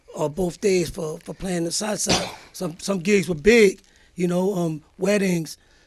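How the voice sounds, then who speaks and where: Noticeable background noise sits under the voice. The intonation stays fairly even. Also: man, high pitch for a man. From Brooklyn, New York (Fort Greene), Puerto Rican family. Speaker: guest recalling life story. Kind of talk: casual interview chat. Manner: fast.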